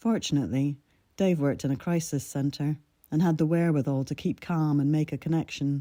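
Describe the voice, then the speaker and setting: A woman speaks at a fairly quick pace with a very deep, low pitch and ordinary pitch variation. Her tone is dark and mellow, her loudness very even, and the recording very clean with a silent background. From Scotland. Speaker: writer and storyteller. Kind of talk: reading aloud.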